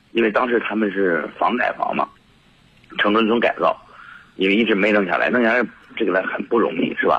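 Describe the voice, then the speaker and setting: A man is speaking. He talks at a very fast pace. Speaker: caller. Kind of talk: phone call-in. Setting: phone call. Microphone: voice drifting, not facing the phone.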